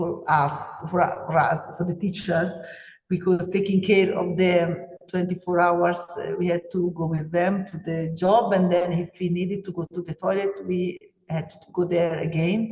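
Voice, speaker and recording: The speaker has an Italian accent. The pace is fairly slow. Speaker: teacher. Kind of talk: webinar presentation. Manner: halting, many fillers.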